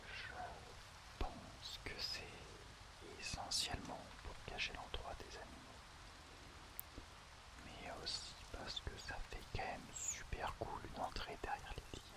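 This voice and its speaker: Someone whispers at a very slow pace, with long, frequent pauses. Noticeable background noise runs underneath. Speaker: ASMR creator. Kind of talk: ASMR game walkthrough narration. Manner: whispered.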